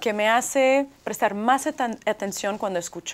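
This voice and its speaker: At a moderate pace, a woman with a Russian accent speaks with lively intonation. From US, arrived from Leningrad at age three. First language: Russian (speaking Spanish). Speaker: author; interviewee. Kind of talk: TV interview. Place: studio. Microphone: lapel.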